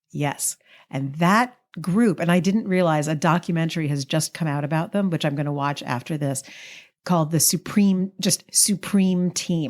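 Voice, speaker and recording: In a very clean recording with a silent background, a woman with an American accent talks at a fairly low pitch and moderate pace, with ordinary pitch variation. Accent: New York accent, comes out at times. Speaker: podcast co-host. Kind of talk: casual chat. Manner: animated.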